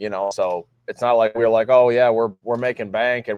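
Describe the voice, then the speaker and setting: A man talks at a fairly quick pace with flat, monotone intonation. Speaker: car shop owner. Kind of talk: casual chat.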